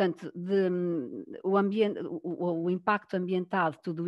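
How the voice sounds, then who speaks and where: Fairly low pitch from a woman, fairly even intonation and a moderate pace. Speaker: food engineer. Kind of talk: panel discussion. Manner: halting, many fillers and repetitions.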